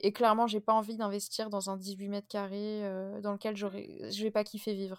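At a medium pitch and moderate pace, a woman speaks with monotone, flat intonation. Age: 20s. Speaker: podcast host. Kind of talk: casual chat.

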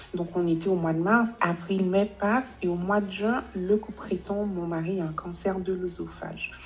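With noticeable background noise behind her, a woman talks at a medium pitch and a fairly slow pace, her intonation fairly even. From Guadeloupe. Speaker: relationship coach. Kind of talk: interview.

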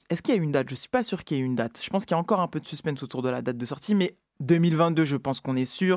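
A woman's fairly low-pitched voice comes through on a very clean recording with a silent background. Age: 30s. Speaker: radio show host. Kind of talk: radio show presenting. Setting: radio studio. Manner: halting, many repetitions.

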